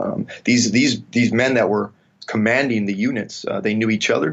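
At a fairly quick pace, a man with a western Canadian accent speaks at a medium pitch. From Canada, Vancouver. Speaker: military historian. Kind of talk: interview.

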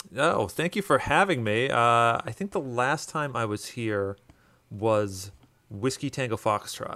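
On a very clean recording with a silent background, a man speaks with a bright, sharp tone. His medium pitch carries lively intonation at a fairly slow pace. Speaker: guest. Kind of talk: casual chat.

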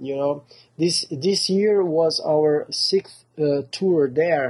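In a Portuguese accent, a man talks at a very slow pace with a fairly high pitch and ordinary pitch variation. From southern Brazil, Porto Alegre. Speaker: metal band singer. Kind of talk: interview. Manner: halting.

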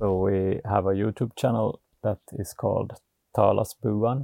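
With vocal fry and fairly even intonation, a man speaks at a fairly low pitch in a dry, close sound with no echo. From Finland, Vaasa (Ostrobothnia). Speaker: off-grid homesteader and YouTube filmmaker. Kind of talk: casual interview.

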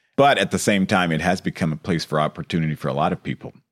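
A man's very deep, low voice with vocal fry, at a very fast pace and with ordinary pitch variation, in a dry, close sound with no echo. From US West Coast, East Los Angeles. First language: Spanish. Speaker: mayor. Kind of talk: interview. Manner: halting.

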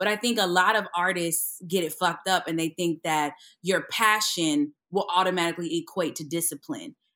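A woman with a fairly low pitch and a bright, sharp tone speaks at a moderate pace with ordinary pitch variation, recorded very cleanly against a silent background. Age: 30s. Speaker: actress and comedian. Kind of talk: casual chat. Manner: animated.

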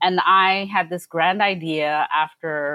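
A woman with a New York accent, her pitch fairly low and her intonation fairly even. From US Northeast, Brooklyn. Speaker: food community organizer. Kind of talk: casual chat.

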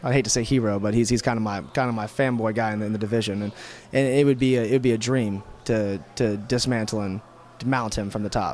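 A very fast, medium-pitched man's voice with an American accent and fairly even intonation. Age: 20s. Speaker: MMA fighter. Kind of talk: post-fight media interview. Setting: fight event media area.

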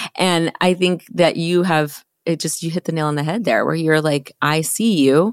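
A woman with an unremarkable speaking voice and a fairly low pitch speaks at a moderate pace with fairly even intonation and hardly any pauses. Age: 40s. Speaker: podcast host and photographer. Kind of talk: podcast interview.

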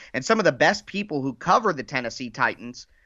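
Fairly high in pitch, this man has an unremarkable speaking voice with lively intonation. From Ohio, US Midwest. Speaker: football podcaster. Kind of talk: casual chat.

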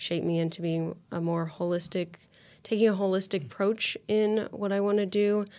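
In a Midwestern American accent, a woman speaks at a moderate pace with fairly even intonation. The recording is very clean, with a silent background. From Indiana (Lafayette). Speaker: university student. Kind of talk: interview. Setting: studio.

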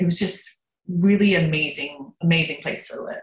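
A woman with a fairly low pitch talks at a moderate speed. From Lancaster, Pennsylvania, US. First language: German. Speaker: soap opera actress. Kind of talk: casual interview.

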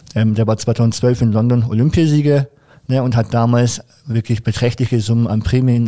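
A man's voice, dark and mellow in tone, holds a very even loudness. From Franconia, Germany. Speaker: para taekwondo athlete. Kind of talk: casual interview chat. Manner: hesitant with many fillers.

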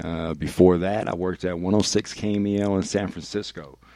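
A man's very deep, low, dark and mellow voice with a Northern California accent and fairly even intonation, in a very clean recording with a silent background. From Vallejo, California. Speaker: radio DJ. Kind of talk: casual chat. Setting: studio.

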